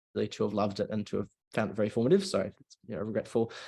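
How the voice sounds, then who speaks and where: A man speaks with an Australian accent at a medium pitch. The background is quiet. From Australia, Melbourne. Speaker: university student debater. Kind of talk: casual chat. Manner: halting, many fillers.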